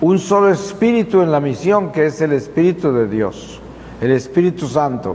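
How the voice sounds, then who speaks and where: Noticeable background noise and audible room echo surround a man whose intonation is lively. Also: fairly high pitch for a man, moderate pace. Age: 70s. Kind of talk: religious talk to youth. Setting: parish church.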